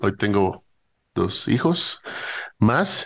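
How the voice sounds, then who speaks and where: Against a quiet background, a man speaks in a fairly low voice. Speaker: podcast host. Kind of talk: interview conversation. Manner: halting.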